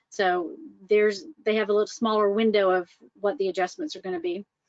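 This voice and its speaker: The speaker has a Southern US accent and a moderate pace. The sound is dry and close, with no echo. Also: woman. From US South, Atlanta, Georgia. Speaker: mortgage loan officer. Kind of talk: webinar presentation. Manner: casual, many fillers.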